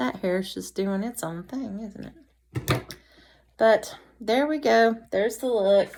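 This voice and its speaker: Speaking very slowly in a Southern US accent, a woman uses lively intonation. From North Carolina. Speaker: vlogger. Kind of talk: casual chat.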